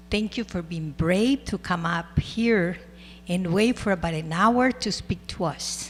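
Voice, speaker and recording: Speaking at a fairly slow pace, a woman uses a fairly low pitch with vocal fry and ordinary pitch variation. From El Salvador. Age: 60s. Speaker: school board president. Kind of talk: public meeting remarks. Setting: school board meeting.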